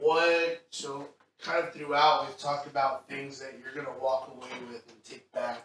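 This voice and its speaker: A man with an American accent talks at a moderate pace in a normal speaking voice, fairly high in pitch. His intonation stays fairly even while his loudness swings widely. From Texas. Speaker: church pastor hosting interview. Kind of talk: casual chat.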